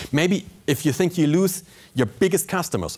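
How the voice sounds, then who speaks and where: On a very clean recording with a silent background, a man speaks at a moderate pace with vocal fry and ordinary pitch variation. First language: not English. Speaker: pilot and motivational speaker. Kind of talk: keynote speech. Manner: animated.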